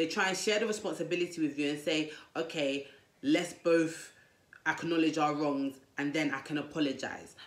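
Room echo is audible as a woman with a fairly low pitch and ordinary pitch variation talks at a moderate pace. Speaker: dating advice vlogger. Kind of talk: casual vlog advice talk. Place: home room. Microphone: lapel.

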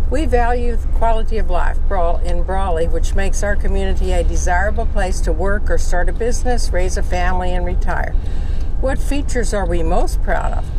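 A woman talks at a fairly quick pace with very even loudness. Noticeable background noise is present, and the sound is dry with no echo. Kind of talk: reading a brochure aloud. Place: car. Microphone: camera far.

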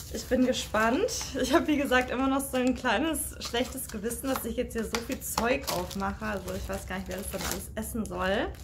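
Amid noticeable background noise, a woman speaks at a moderate pace. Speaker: snack taste-test vlogger. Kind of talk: casual vlog chat. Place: home room. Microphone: phone near.

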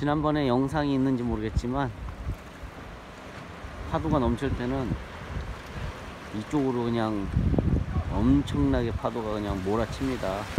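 A man's lively intonation at a moderate pace, with long, frequent pauses, noticeable background noise and a dry sound with no echo. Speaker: camper-van travel vlogger. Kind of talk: casual vlog chat. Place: waterside. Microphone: phone near.

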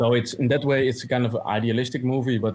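A man at a medium pitch with a Dutch accent, in a very clean recording with a silent background. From Netherlands, Amsterdam. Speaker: movie reviewer, journalist. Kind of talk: casual review chat. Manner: halting, many fillers.

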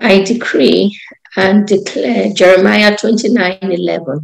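This is a woman with vocal fry in her voice. Her pitch sits in the medium range. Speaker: prayer participant. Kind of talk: worship prayer.

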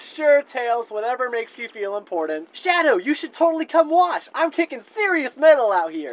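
A put-on character voice that sounds female, high-pitched and with very wide pitch swings, moves at a moderate pace. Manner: brash, self-absorbed, fast.

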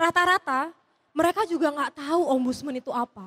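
At a fairly quick pace, a woman talks. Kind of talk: stand-up comedy; stand-up comedy routine. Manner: casual, chatty, relaxed. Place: stage. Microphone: handheld.

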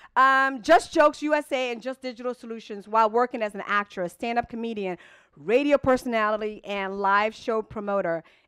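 A woman's fairly high, fairly bright voice, clear and smooth in tone, with few pauses. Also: ordinary pitch variation, moderate pace.

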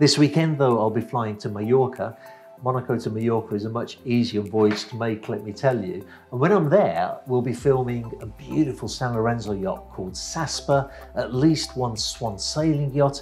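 Faint music sits behind a man speaking at a moderate pace. His pitch shows ordinary variation. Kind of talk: casual vlog chat. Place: office. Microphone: lapel.

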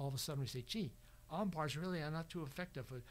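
A man's somewhat breathy voice with ordinary pitch variation. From New York. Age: 80s+. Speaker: martial arts student; podcast guest. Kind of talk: casual chat; interview answer. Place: studio. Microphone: studio mic.

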